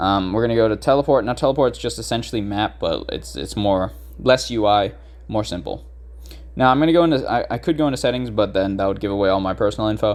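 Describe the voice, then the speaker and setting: A man speaks very fast. Nothing else can be heard behind him. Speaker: gaming YouTuber. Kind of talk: tutorial. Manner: casual, many fillers and restarts.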